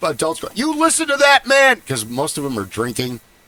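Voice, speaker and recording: Over noticeable background noise, a man speaks in an animated tone at a moderate pace with ordinary pitch variation, the sound dry and close with no echo. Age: 50s. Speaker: podcast host. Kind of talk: casual chat.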